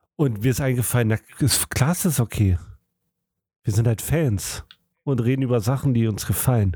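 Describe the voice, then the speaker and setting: At a moderate pace, a man speaks with a medium pitch, a dark, mellow tone, a somewhat breathy quality, very even loudness, ordinary pitch variation and long, frequent pauses. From Germany. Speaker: podcast co-host. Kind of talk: casual chat.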